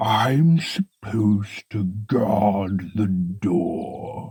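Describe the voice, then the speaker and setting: A man puts on a growling, wheezy, breathy character voice at a fairly low pitch. He speaks at a very slow pace. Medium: read story. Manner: slow, few words, deliberate.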